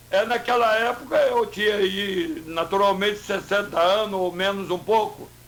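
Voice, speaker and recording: The speech moves at a fairly slow pace. Noticeable background noise can be heard. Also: man. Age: 70s. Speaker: mayoral candidate. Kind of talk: radio interview.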